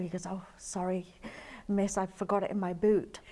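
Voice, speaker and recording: Here is a woman with a British accent and a dark, mellow tone. Her pitch is medium and her pace fairly quick. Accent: British, still comes out. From England, London. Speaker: interview guest, sales manager. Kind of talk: interview. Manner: animated.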